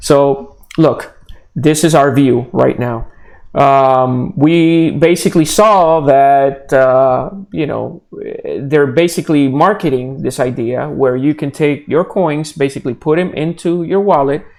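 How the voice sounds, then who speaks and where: In a Puerto Rican accent, a man talks at a fairly slow pace with a fairly high pitch and ordinary pitch variation. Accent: Puerto Rican Spanish accent, noticeable. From Puerto Rico. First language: Spanish. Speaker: blockchain developer. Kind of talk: live stream Q&A. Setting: live video stream. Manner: hesitant, repeats words often.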